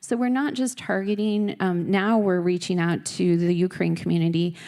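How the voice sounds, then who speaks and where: The woman has a fairly low pitch and a dark, mellow tone, speaking at a moderate pace. The recording is very clean, with a silent background. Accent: slight Minnesota. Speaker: US embassy representative, diplomat. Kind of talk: conference speech. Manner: many filler ums.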